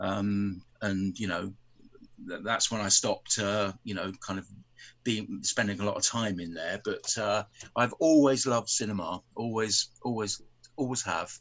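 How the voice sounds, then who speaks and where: This man speaks at a fairly slow pace with a fairly low pitch. His pitch variation is ordinary. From England. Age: 70s. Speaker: film fan guest. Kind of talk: casual chat.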